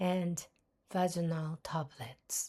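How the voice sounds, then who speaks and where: In a Japanese accent, a woman speaks very slowly with a fairly low, somewhat breathy voice and a dark, mellow tone. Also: very clean recording, silent background. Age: old. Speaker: podcaster. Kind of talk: personal podcast monologue.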